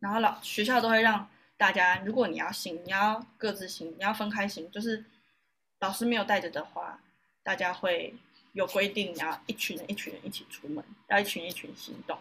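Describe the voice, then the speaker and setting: A woman speaks in a bright, sharp tone, her loudness swinging widely from moment to moment. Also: medium pitch for a woman, moderate pace. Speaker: yoga teacher and university student. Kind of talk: interview. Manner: animated.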